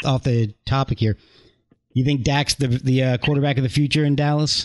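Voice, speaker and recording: A man with an American accent, fairly high-pitched, at a fairly quick pace, with very even loudness and fairly even intonation, in a dry, close recording with no echo and a quiet background. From Virginia and New Jersey. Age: 40s. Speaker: podcast host. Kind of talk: casual chat. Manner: halting.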